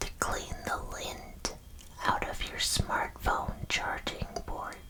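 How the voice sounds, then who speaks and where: Whispering at a very slow pace, the speaker is heard over noticeable background noise. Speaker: ASMR content creator / vtuber. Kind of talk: ASMR whisper roleplay, deadpan false facts read to camera. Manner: whispered, soft-spoken.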